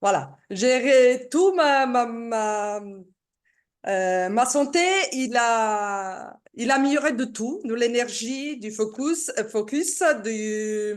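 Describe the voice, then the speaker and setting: A woman's fairly high voice in an Italian accent, with lively intonation and a very slow pace, against a quiet background. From Italy. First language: Italian (speaking French). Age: 60s. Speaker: product seller giving testimony. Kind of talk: testimony. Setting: video call. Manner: halting.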